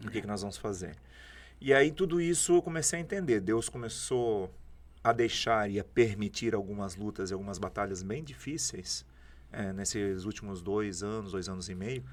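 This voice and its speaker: Speaking with a normal speaking voice, a man uses a fairly low pitch, lively intonation and a moderate pace on a very clean recording with a silent background. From southern Brazil, Santa Catarina (Jaraguá do Sul). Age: 40s. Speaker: prophet, preacher. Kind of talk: podcast interview, testimony.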